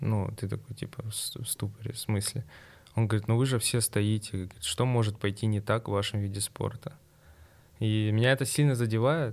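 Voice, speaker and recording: Using a normal speaking voice, a man talks at a moderate pace and a medium pitch with fairly even intonation. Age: 20s. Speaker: sport shooter. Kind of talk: interview.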